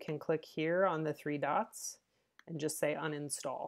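Very deep, low female voice at a fairly slow pace against a quiet background. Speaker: teacher or trainer. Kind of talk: tutorial. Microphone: webcam.

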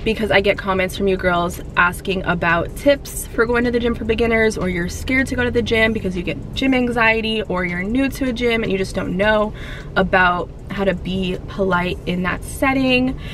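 A woman speaks with ordinary pitch variation as music plays in the background. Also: moderate pace. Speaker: fitness vlogger. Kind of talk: casual vlog chat. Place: car. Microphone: phone near.

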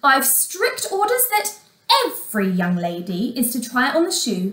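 In a put-on character voice, a woman uses a high pitch with big pitch swings and a fairly bright tone, moving at a fairly slow pace through audible room echo.

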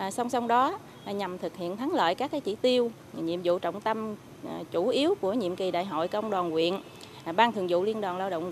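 With lively intonation and a moderate tempo, a woman talks as light noise hums in the background. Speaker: local trade union official. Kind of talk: interview. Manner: halting. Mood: calm, official reporting. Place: garden. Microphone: handheld.

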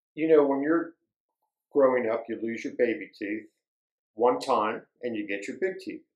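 The man's voice carries audible room echo over a quiet background. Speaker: nature educator. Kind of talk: educational talk for children. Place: studio.

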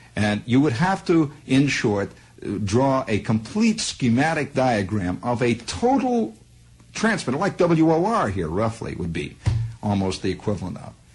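A man speaks at a fairly slow pace with music in the background. His medium-pitched voice makes very wide pitch swings. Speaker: radio broadcaster telling a personal story. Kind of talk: radio monologue, storytelling. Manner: conversational, digressive, wry. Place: studio. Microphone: old recording.

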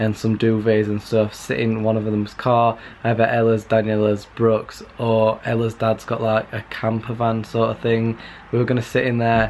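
Light background noise sits under a man's voice. He talks at a moderate pace with monotone, flat intonation. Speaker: vlogger. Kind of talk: casual vlog chat. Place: home room. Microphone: webcam.

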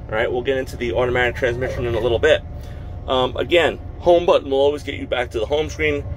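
Light background noise sits behind a man talking at a very fast pace. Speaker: truck driver reviewer. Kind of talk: tutorial. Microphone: phone near.

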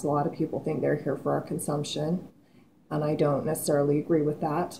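Light background noise runs under a woman's voice. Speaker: vlogger. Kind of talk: casual vlog chat. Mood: earnest, reflective. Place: kitchen. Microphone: webcam.

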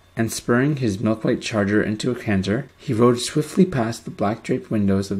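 Ordinary pitch variation throughout a natural reading voice

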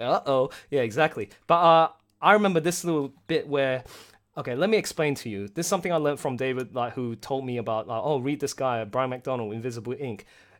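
With an Australian accent, a man talks at a fairly quick pace and medium pitch. His intonation is lively, and the recording is very clean with a silent background. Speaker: project director hosting live stream. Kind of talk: casual chat. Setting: live stream. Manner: animated.

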